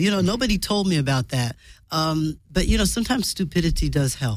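A woman speaks with a New York accent at a fairly quick pace and a fairly low pitch. Her loudness stays very even while her pitch swings very widely. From New York City. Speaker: sitcom writer and writing teacher. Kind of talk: casual interview chat.

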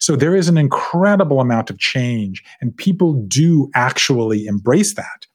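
A man with an American accent, fairly high in pitch, swinging very widely in pitch at a moderate pace with hardly any pauses. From US South, coastal Georgia (Savannah). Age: 50s. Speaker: author. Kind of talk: casual chat. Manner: laughs often.

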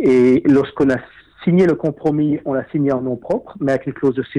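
The tone is dark and mellow, delivered at a moderate pace. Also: man. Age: 50s. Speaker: property investor. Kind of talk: interview.

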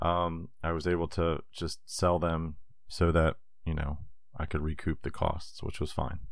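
A very deep, low male voice at a fairly slow pace with fairly even intonation. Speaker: board game podcast co-host. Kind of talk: casual chat. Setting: Skype call. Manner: jokey, playful.

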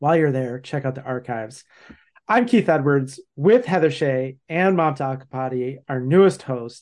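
A man speaks at a moderate pace in an ordinary speaking voice, his pitch fairly high for a man and its variation ordinary. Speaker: podcast host, speaker and consultant. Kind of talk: podcast hosting, casual conversation.

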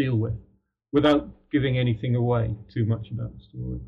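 This man's voice is somewhat breathy. His pitch sits in the medium range. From Ireland, Dublin, then Britain. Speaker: author. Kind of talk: interview. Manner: halting.

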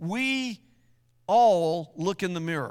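An American accent with very wide pitch swings in a very clean recording over a silent background. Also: man. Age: 60s. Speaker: pastor. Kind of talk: sermon.

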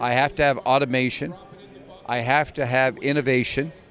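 At a moderate pace, a man talks in a flat, monotone way. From Canada, Glace Bay, Nova Scotia. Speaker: cannabis company executive. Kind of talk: interview. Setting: trade expo.

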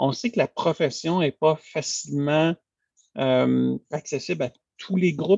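Talking at a very slow pace, a man has a fairly high voice with ordinary pitch variation. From Quebec, east end of Montreal. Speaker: lawyer, bar president candidate. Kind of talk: interview. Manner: halting, many repetitions.

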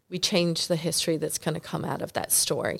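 A Southern US accent in a very clean recording with a silent background. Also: woman. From North Carolina. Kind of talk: casual chat. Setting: in person, same hotel.

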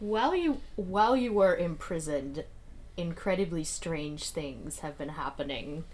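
A normal speaking voice delivered at a fairly slow pace. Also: woman. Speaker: tabletop roleplaying game player. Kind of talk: casual roleplaying game chat.

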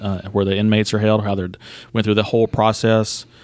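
In a very clean recording with a silent background, a man speaks in a fairly low, monotone, flat voice with an Alabama accent. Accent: US Southern (Alabama). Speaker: golf club general manager. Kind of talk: interview.

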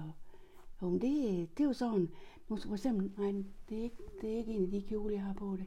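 A woman's somewhat breathy voice with a dark, mellow tone and ordinary pitch variation. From Denmark, Horsens. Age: 70s. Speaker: interviewee recalling her childhood. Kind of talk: oral history interview.

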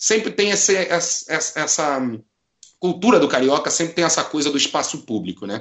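A man at a moderate pace with lively intonation. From Rio de Janeiro, Brazil. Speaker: football supporter and writer. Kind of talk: casual chat.

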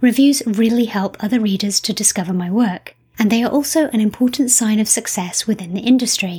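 Somewhat breathy and dark, mellow in tone, a woman speaks at a fairly high pitch with ordinary pitch variation and a fairly quick pace. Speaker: podcast host and novelist. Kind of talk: interview. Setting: remote interview.

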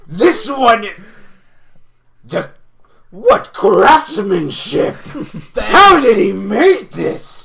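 In a put-on character voice of fairly high pitch, the speaker goes at a very slow pace with long, frequent pauses. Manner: formal third-person speech, warm and enthusiastic.

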